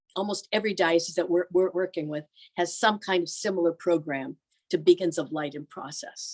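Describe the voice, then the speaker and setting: A woman with an American accent and a normal speaking voice, fairly low in pitch and fairly quick, with ordinary pitch variation, big swings in loudness, and a dry, close sound with no echo. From US Northeast (Erie, Pennsylvania). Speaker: religious sister and pastoral institute leader. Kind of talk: presentation. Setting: video call.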